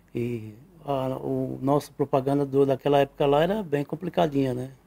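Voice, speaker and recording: The man's voice has a dark, mellow tone at a fairly high pitch, with ordinary pitch variation and a moderate pace, and the sound is dry and close with no echo. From Brazil, Northeast (Sergipe). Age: 60s. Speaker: pizzeria owner and pizza maker. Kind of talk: interview. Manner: casual, frequent 'né' tag.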